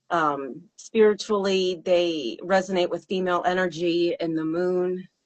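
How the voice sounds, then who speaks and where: The speaker is a woman with a fairly low-pitched voice. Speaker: singer and songwriter. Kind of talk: interview. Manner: halting.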